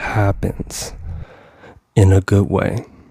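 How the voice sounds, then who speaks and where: A man with a very deep, low pitch against noticeable background noise. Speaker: motivational speaker and mindset coach. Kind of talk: motivational talk. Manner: animated.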